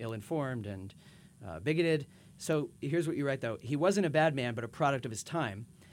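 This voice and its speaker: A man speaks in a normal speaking voice, fairly quick and with lively intonation. The recording is very clean, with a silent background. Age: 30s. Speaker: podcast host. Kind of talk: scripted narration; interview.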